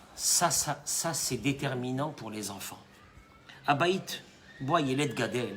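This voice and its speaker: Speaking at a very slow pace with long, frequent pauses, a man has a medium pitch and ordinary pitch variation. His loudness swings widely, and there is noticeable background noise and audible room echo. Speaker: rabbi. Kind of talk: sermon. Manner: animated.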